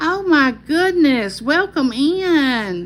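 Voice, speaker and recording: A woman speaks with a Southern US accent, her pitch swinging very widely. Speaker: YouTuber hosting a live chat. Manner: friendly, chatty.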